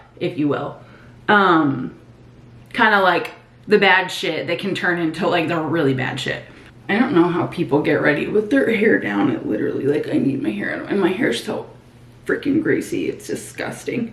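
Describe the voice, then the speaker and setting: A woman speaks at a moderate pace with very wide pitch swings. Audible room echo surrounds her voice. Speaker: nursing student and vlogger. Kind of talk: casual chat, get ready with me vlog. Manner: casual, filler-heavy.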